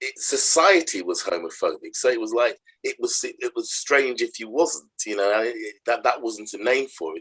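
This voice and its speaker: In a Nottingham accent, a man talks with a dry, close sound and no echo. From Nottingham, England. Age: 60s. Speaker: charity chief executive. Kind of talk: interview conversation. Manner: halting, repetitive.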